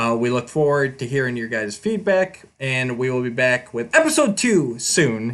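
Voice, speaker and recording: Medium in pitch with ordinary variation, the man has an unremarkable speaking voice. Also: moderate pace, hardly any pauses. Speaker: podcast host. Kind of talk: casual podcast chat.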